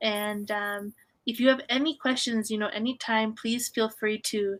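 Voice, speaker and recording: A woman with a Canadian accent speaks at a moderate pace in a fairly high pitch, her tone bright and sharp. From Canada, Vancouver. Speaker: online English tutor. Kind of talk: online language lesson feedback.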